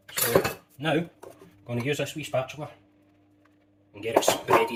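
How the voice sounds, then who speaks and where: Over noticeable background noise, a man with a fairly high pitch speaks at a moderate pace and varies his pitch in an ordinary way. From Scotland. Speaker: home cooking youtuber. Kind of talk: cooking tutorial. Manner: casual, chatty.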